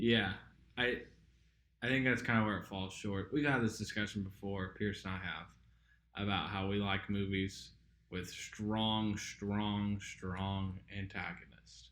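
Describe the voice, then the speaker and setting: A man with a slight Southern US accent, fairly low pitch, fairly even intonation and a fairly slow pace, plus audible room echo. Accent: slight Southern drawl. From southern Indiana. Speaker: podcast co-host. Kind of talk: casual chat. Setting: apartment home recording. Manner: casual, hesitant with fillers.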